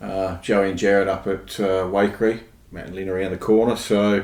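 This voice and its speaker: An Australian accent marks this man's speech. He talks at a fairly quick pace. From Australia, Adelaide. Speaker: podcast guest, church member. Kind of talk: casual interview chat. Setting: podcast recording.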